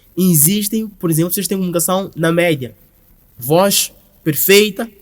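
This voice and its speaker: A loud man's voice, high in pitch, at a moderate pace with ordinary pitch variation. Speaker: brand founder and creative director. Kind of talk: podcast interview.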